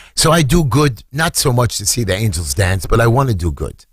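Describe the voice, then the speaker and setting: A man with a New York accent, animated and somewhat breathy, fairly quick, with very wide pitch swings. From New York, Brooklyn. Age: 60s. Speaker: city council candidate. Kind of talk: radio interview. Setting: studio.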